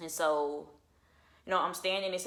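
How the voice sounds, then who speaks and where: A woman's fairly low, bright, sharp voice, animated in tone, with ordinary pitch variation and audible room echo. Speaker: channel owner sharing personal testimony. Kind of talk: testimony. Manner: fast.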